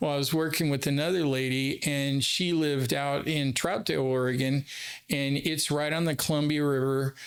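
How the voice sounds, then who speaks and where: A man with an ordinary speaking voice talks at a moderate pace, his pitch fairly high, his intonation fairly even and his loudness very even. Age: 60s. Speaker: therapist. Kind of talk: casual chat. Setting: studio.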